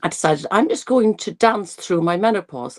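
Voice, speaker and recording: A woman with an Irish accent speaks at a moderate pace with ordinary pitch variation, in a dry, close sound with no echo on a very clean recording with a silent background. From Ireland. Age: 60s. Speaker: nutrition and longevity coach. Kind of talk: interview. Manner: halting.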